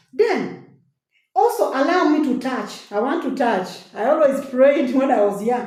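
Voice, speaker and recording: Audible room echo surrounds a woman with a high pitch. She talks at a fairly slow pace with lively intonation. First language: a local African language. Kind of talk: inspirational testimony. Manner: animated.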